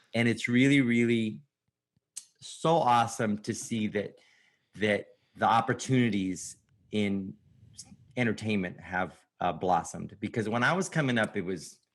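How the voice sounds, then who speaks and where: Using lively intonation, a man with an American accent speaks at a medium pitch and a moderate pace, with long, frequent pauses. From New York. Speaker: comedian. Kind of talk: casual chat.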